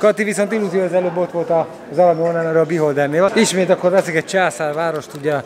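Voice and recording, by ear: A man's fairly high voice over faint background noise. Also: fairly even intonation.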